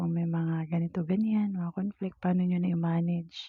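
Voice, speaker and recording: Soft-spoken and monotone with flat intonation, a woman talks at a moderate pace in a fairly low pitch. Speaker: vlogger. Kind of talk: casual chat. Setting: at home.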